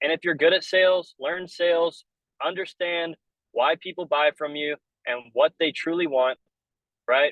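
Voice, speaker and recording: The speaker is a man with a fairly high pitch. He talks at a moderate pace. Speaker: business coach. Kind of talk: webinar training. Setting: in a car. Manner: loud; casual.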